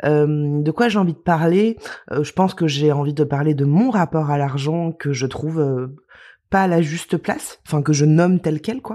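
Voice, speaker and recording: On a very clean recording with a silent background, a woman talks at a moderate pace. Her voice is very deep and low in pitch, with a dark, mellow tone and ordinary pitch variation. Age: 30s. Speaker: influencer. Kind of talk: interview. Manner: halting.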